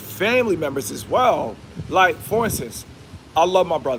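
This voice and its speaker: A man speaks in an animated tone at a moderate pace, his pitch swinging very widely, with vocal fry. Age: 30s. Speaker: YouTube livestreamer. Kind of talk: casual livestream monologue.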